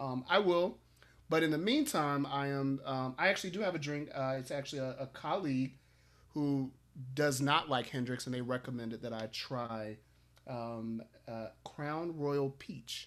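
In an American accent, a man talks at a moderate pace in a fairly high pitch with ordinary pitch variation. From Chicago. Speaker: school leader and education executive. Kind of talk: casual interview chat. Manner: animated.

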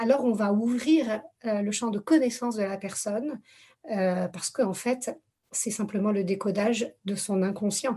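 A somewhat breathy woman's voice, fairly high in pitch, with ordinary pitch variation and a fairly slow pace. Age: 40s. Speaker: therapist. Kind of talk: casual chat. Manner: halting.

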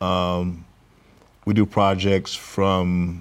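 A man speaks with a Southern US accent. His very deep, low voice stays monotone and flat. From US South, Mississippi Delta (Clarksdale). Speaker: general contractor and business owner. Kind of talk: interview. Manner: halting, many fillers.

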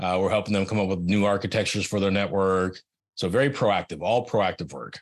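An unremarkable speaking voice with an American accent talks at a fairly quick pace against a quiet background. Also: man. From US West Coast (California, Silicon Valley). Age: 50s. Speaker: IT manager and Navy veteran. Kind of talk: casual chat.

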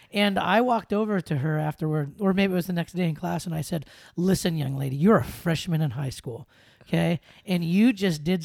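With an American accent, the speaker goes at a fairly quick pace in a very clean recording with a silent background. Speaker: podcast host; school activities director. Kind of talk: casual interview chat.

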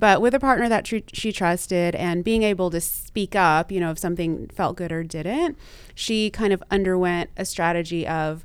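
An ordinary speaking voice from a woman with an American accent, medium in pitch, with ordinary pitch variation and a moderate pace, on a very clean recording with a silent background. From US South (Texas and Louisiana). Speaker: sex and relationship therapist. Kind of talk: interview conversation.

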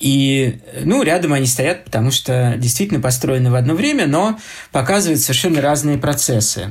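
A somewhat breathy man with a fairly high pitch, very even loudness, ordinary pitch variation and a moderate pace, in audible room echo. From Moscow, Russia. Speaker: architecture critic and lecturer. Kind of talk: lecture. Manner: halting, many filler sounds.

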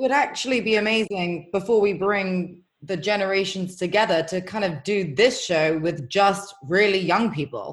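Here is a plain, everyday voice from a woman at medium pitch with ordinary pitch variation. She keeps a moderate pace with hardly any pauses. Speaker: technology project organizer. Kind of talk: casual chat.

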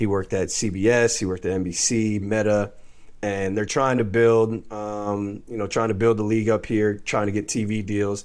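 Monotone, flat intonation from a man with an American accent, fairly low in pitch, at a moderate pace. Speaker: former college basketball player, now pro overseas. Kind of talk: casual chat. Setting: remote call.

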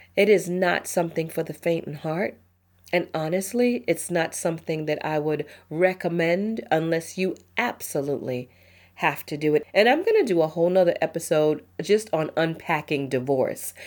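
Hers is a plain, everyday voice, fairly low in pitch with ordinary pitch variation. The woman keeps a moderate pace. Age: 40s. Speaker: podcast host. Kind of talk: casual solo talk.

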